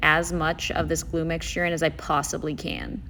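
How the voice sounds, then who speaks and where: Woman at a moderate pace over noticeable background noise. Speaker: crafter narrating her tutorial. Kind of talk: voiceover narration of a tutorial.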